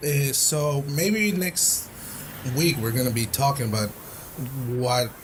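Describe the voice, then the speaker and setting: Against noticeable background noise, a man with a Spanish accent talks at a very slow pace in a medium pitch. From Tijuana, Mexico. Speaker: podcast host. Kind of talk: casual chat. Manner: halting.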